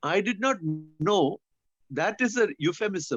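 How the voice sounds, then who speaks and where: In a Keralan accent, a man speaks with lively intonation, the sound dry and close with no echo. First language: Malayalam. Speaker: speaker introducer, former prison worker. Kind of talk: casual introduction on a webinar. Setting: video call.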